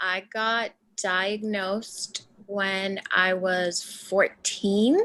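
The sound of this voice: A woman speaks at a very slow pace in a bright, sharp tone. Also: medium pitch for a woman, fairly even intonation.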